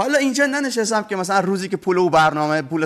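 Very fast speech with very wide pitch swings. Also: man, quiet background. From Bushehr, southern Iran. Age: 40s. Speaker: storyteller and TV program presenter. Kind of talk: storytelling in a TV interview.

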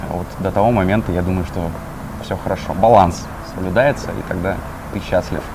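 A very deep, low male voice amid noticeable background noise and audible room echo. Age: 20s. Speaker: social media marketer. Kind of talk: casual interview. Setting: cafe.

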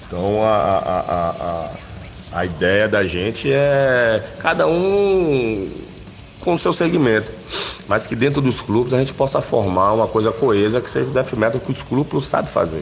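A man's medium-pitched voice at a fairly slow pace, with very wide pitch swings, over noticeable background noise. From Bahia, Brazil (Itabuna, southern Bahia). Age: 40s. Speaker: death metal vocalist. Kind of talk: interview. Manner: halting, many fillers.

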